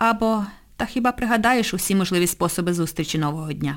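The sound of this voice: Reading in an unforced voice.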